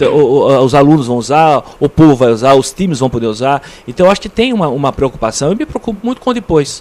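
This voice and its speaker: This man's pitch swings very widely. He talks at a very fast pace. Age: 60s. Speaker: interview guest, local community figure. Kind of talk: radio interview. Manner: halting, many repetitions.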